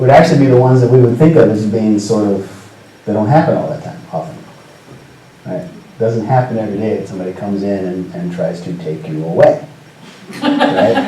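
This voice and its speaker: Speaking at a fairly quick pace with lively intonation and medium pitch, a man with a West Coast US accent is heard over noticeable background noise and audible room echo. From US Pacific Northwest, Seattle. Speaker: storyteller. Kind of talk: talk to students. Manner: casual, conversational with fillers.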